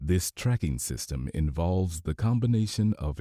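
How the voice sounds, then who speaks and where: A man with a very deep, low, dark and mellow voice speaks in a dramatic tone with very wide pitch swings. The very clean recording has a silent background and a dry, close sound with no echo. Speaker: audiobook narrator. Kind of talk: audiobook narration. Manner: dramatic, old-radio style narration.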